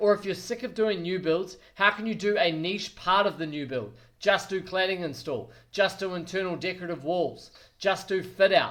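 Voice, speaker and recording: Energetic, high-pitched man with a New Zealand accent, at a moderate pace with ordinary pitch variation. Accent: New Zealand (Kiwi). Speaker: quantity surveyor and business coach. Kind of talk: business advice talk to camera. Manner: energetic, direct.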